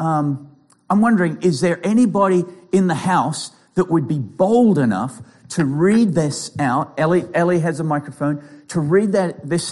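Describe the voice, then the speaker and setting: A man with an Australian accent, moderate in pace and lively in intonation. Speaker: pastor and clinical psychologist. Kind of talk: sermon.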